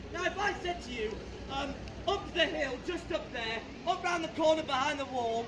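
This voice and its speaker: With crowd noise in the background, a man with an extremely high pitch speaks at a moderate pace in a raised, projected voice, using ordinary pitch variation. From United Kingdom. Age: young. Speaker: street preacher. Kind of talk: open-air street sermon. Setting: outdoors. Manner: passionate. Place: street. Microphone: camera far.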